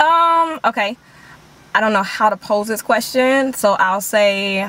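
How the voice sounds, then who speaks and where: Lively intonation from a woman with a fairly high pitch, a plain, everyday voice, at a fairly slow pace. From Chicago, South Side. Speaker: country singer and actress. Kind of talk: casual talk show interview.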